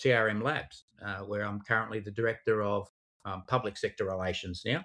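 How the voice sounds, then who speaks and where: A man speaks in an Australian accent. His pace is moderate. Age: 50s. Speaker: crypto investigations specialist, former police digital forensics expert. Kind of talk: podcast interview. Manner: hesitant, many fillers and repetitions.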